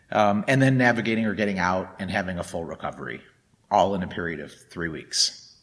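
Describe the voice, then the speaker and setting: With a plain, everyday voice, a man at a fairly low pitch speaks at a fairly quick pace with ordinary pitch variation. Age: 40s. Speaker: dharma talk speaker. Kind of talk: dharma talk.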